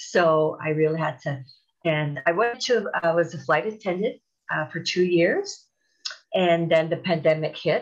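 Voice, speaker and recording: A woman speaks at a fairly slow pace in a fairly low voice, her pitch moving in an ordinary way over a quiet background. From Canada. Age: 50s. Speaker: TEFL course graduate, supply teacher. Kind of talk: interview. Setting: video call. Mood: warm, upbeat. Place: home room. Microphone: earbuds.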